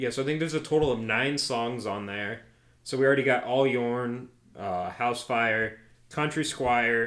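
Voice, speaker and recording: Here is a man with an ordinary speaking voice. His pitch is medium and his pace moderate. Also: ordinary pitch variation. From Nebraska, Omaha. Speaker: podcast co-host, country music fan. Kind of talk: casual chat.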